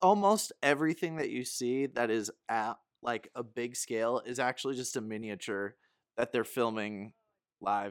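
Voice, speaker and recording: In a very clean recording with a silent background and a dry, close sound with no echo, a man uses a normal speaking voice at a medium pitch, a moderate pace and ordinary pitch variation. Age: 30s. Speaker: movie fan guest. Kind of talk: casual chat.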